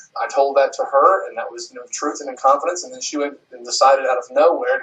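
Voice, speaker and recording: Speaking fairly quickly, a man talks in an American accent. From US South. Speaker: adult film performer. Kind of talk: interview. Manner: fast; halting.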